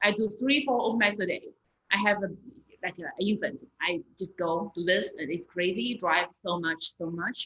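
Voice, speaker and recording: Here is a woman speaking at a medium pitch. Her pitch variation is ordinary. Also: moderate pace. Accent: Chinese. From China. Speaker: stand-up comedian and comedy club owner. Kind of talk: interview conversation. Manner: halting, repetitive.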